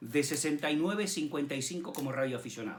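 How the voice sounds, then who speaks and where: Fairly quick speech from a man, lively in intonation, with noticeable background noise. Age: 60s. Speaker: amateur radio operator. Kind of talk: personal storytelling. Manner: hesitant, with fillers.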